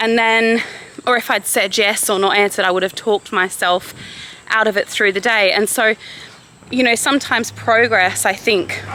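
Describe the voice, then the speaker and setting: Over noticeable background noise, a woman with an Australian accent speaks at a moderate pace with fairly even intonation and very even loudness. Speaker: vlogger. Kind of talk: vlog talking to camera. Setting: outdoors, walking.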